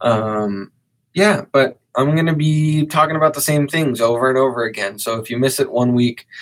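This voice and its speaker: This man has an unremarkable speaking voice at a medium pitch. He speaks at a moderate pace with ordinary pitch variation. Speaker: podcaster and content creator. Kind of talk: casual podcast monologue. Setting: live stream recording session.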